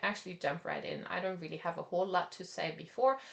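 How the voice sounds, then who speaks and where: Lively intonation marks this woman's speech. She has a non-native accent. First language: not English. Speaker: art teacher. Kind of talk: online class; guided meditation. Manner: halting.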